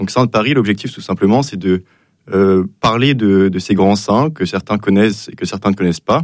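The speaker has a slightly mellow tone, ordinary pitch variation and a fairly quick pace. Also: man, fairly low pitch for a man.

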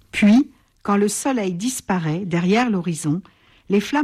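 This is plain reading aloud. Nothing else stands out beyond that plain reading aloud.

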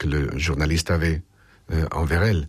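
A man with an extremely low pitch and a slightly husky edge

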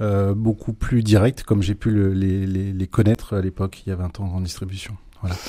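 At a fairly quick pace, a man speaks low and dark, mellow in tone, with little movement in pitch.

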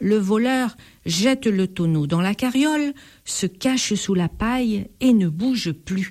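An unforced reading voice carries the clip. It is used throughout.

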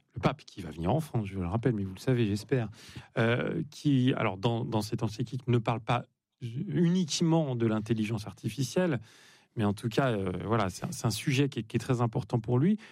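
This man talks at a fairly quick pace in a medium pitch, with lively intonation and a slightly mellow tone.

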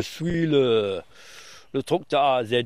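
With a non-native accent, a man is talking. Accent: foreign, learned French in Brittany.

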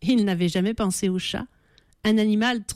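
The voice is reading aloud in a natural voice. Its intonation is fairly even.

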